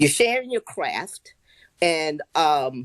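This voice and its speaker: The sound is close and dry, without any echo. The speaker is a woman. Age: 60s. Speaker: listener calling in. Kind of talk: casual chat. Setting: online audio room.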